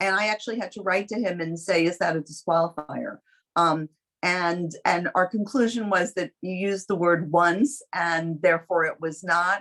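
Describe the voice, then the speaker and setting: Someone with a New York accent speaks at a moderate pace with ordinary pitch variation. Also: woman, fairly low pitch for a woman. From New York City. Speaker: competition judge, lawyer. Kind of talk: spoken feedback to student teams.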